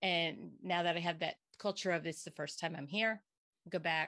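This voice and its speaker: In a very clean recording with a silent background, a woman with an American accent speaks in a fairly low voice with fairly even intonation. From Pennsylvania, Berks County. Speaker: occupational therapist. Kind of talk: interview.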